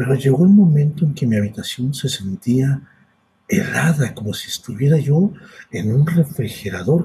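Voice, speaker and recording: With a Mexican accent, a man speaks at a moderate pace in a fairly high voice that makes very wide pitch swings. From Mexico, hot region. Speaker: podcast host and storyteller. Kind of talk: personal storytelling. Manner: halting.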